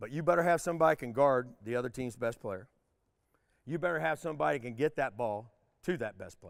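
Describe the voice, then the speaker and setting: With an unremarkable speaking voice, a man talks at a fairly quick pace, his intonation lively and his loudness swinging widely. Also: medium pitch for a man. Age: 60s. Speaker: retired basketball coach. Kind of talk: motivational speech.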